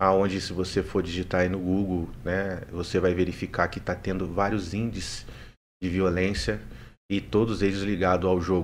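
This man's pitch sits very deep and low. His intonation is fairly even. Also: moderate pace. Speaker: world record holder and streamer. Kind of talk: live podcast interview.

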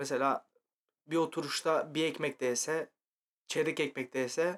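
A man at a moderate pace. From Turkey, İzmit. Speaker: podcast co-host. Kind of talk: casual chat. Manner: animated, laughing.

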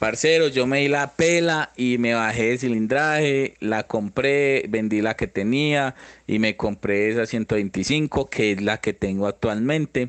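In a dry, close recording with no echo, a man with an Antioquian accent speaks at a very slow pace and a medium pitch, with ordinary pitch variation, very even loudness and hardly any pauses. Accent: Colombian paisa Spanish. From Antioquia, Colombia. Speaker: motorcycle traveler. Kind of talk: interview.

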